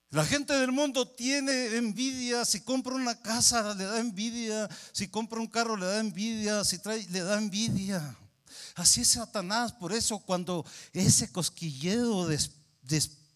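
The speech moves at a fairly slow pace with ordinary pitch variation. The background is quiet. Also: man, high pitch for a man. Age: 60s. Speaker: pastor. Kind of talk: sermon. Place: church. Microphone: handheld.

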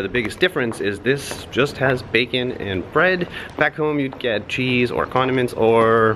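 A man's voice with ordinary pitch variation over light background noise. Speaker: travel food vlogger. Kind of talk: casual vlog chat. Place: street. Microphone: phone near.

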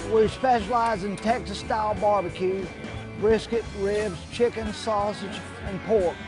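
A man talks at a high pitch with fairly even intonation. The sound is dry with no echo, and clear music plays in the background. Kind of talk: interview answer. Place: street. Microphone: lapel.

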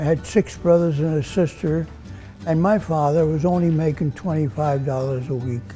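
A man speaks at a fairly high pitch with ordinary pitch variation. Faint music plays in the background. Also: moderate pace. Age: 80s+. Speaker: barber. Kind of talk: interview answer. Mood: warm, reminiscing. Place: shop. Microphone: lapel.

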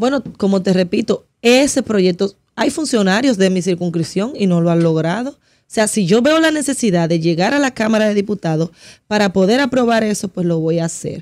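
Against a quiet background, a woman with a medium pitch and lively intonation speaks at a moderate pace with hardly any pauses. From Dominican Republic, Santo Domingo; Dominican Republic. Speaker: political candidate; candidate. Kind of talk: radio interview. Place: studio. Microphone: studio mic.

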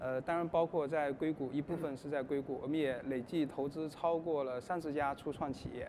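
Over noticeable background noise, a man talks at a fairly quick pace with hardly any pauses, his fairly high voice in a monotone, flat intonation. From China. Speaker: investor; panellist. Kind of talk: panel talk. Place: stage.

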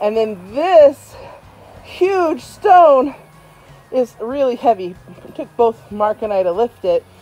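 Faint music plays behind a woman speaking very slowly in a high voice, with big swings in loudness. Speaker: homeowner DIY vlogger. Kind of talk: casual vlog chat. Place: garden. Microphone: phone near.

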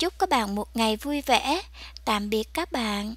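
Intonation is lively while the pace is very slow. The recording is dry, without echo. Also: woman. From Vietnam. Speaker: vlogger; home garden vlogger. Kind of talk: casual vlog narration; casual vlog chat. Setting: outdoors. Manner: animated. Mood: cheerful, delighted.

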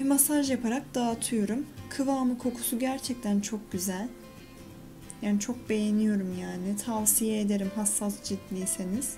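With clear music in the background, a woman speaks at a fairly slow pace using ordinary pitch variation. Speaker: beauty vlogger. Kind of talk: casual tutorial vlog chat. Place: bathroom. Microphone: phone near.

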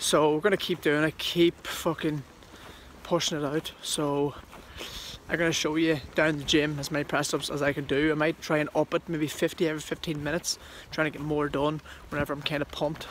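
A fairly quick pace over light background noise, with a dry sound and no echo. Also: man. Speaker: fitness vlogger. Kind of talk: casual vlog chat. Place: street. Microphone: phone near.

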